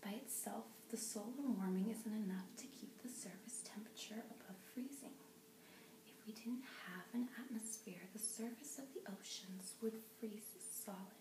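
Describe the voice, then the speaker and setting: A woman's soft-spoken whisper over noticeable background noise. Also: fairly slow pace. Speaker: ASMR creator. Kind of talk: ASMR book reading. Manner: soft-spoken, whispering.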